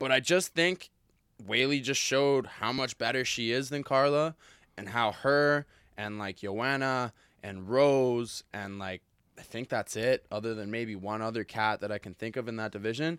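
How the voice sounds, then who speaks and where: A man with an unremarkable speaking voice talks at a moderate pace in a medium pitch with ordinary pitch variation. The sound is dry and close with no echo, on a very clean recording with a silent background. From Calgary, Canada. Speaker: Muay Thai fighter. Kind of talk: casual chat about fights. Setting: studio.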